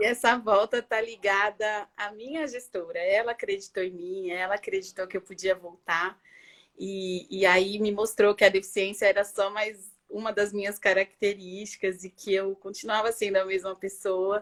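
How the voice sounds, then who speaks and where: Delivery is at a moderate pace with fairly even intonation. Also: woman, medium pitch for a woman, hardly any pauses. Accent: Paulista. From Brazil, São Paulo. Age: 40s. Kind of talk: interview. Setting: video call from home bedroom.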